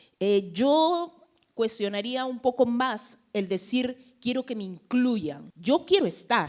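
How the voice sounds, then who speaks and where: At a very slow pace, a woman with a high pitch moves through very wide pitch swings. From Peru, Lima (San Martín de Porres). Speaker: panelist, Afro-Peruvian activist. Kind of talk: panel discussion.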